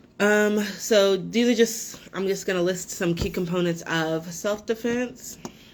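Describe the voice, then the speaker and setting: Over noticeable background noise, a woman at a medium pitch speaks at a fairly slow pace with fairly even intonation and hardly any pauses. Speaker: self-defense instructor. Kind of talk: webinar presentation. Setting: online webinar. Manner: many filler words.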